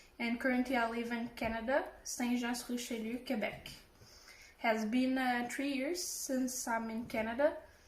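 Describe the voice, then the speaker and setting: With a Portuguese accent, a woman talks at a moderate pace in a high voice. Her intonation is fairly even, with audible room echo. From Brazil. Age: 20s. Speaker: home cook. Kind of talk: self-introduction.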